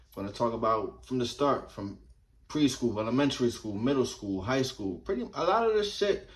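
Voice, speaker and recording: A man with an American accent, very wide pitch swings and a fairly quick pace, with audible room echo. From New Jersey, Somers Point near Atlantic City. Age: 30s. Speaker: vlogger. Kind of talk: casual storytelling monologue. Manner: animated.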